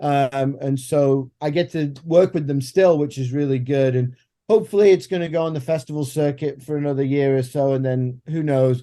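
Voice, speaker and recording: Speaking with an English accent, a man has a fairly high pitch and a dark, mellow tone. His intonation is fairly even and his pace moderate. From England. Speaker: filmmaker. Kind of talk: podcast interview.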